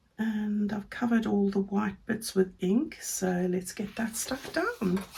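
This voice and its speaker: A woman speaks with a fairly high pitch. Noticeable background noise runs under her voice. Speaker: paper crafter. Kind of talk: craft tutorial talk to camera. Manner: casual, friendly.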